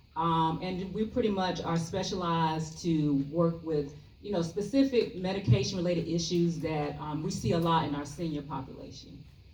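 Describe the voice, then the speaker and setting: Soft-spoken, a woman with a Southern US accent and a fairly low pitch speaks at a moderate pace with ordinary pitch variation and hardly any pauses, with audible room echo. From US South, Columbia, South Carolina. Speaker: pharmacist. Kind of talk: health talk to seniors. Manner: casual with many fillers.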